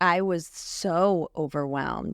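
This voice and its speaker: A woman speaks at a fairly low pitch with ordinary pitch variation. The sound is dry and close with no echo, in a very clean recording with a silent background. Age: 30s. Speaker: grief support specialist. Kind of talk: interview conversation, personal story.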